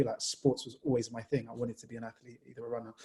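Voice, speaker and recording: Somewhat breathy and dark, mellow in tone, a man talks at a very fast pace with fairly even intonation. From Jamaica, moved to England at nine. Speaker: sports journalist. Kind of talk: panel discussion. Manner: casual, conversational.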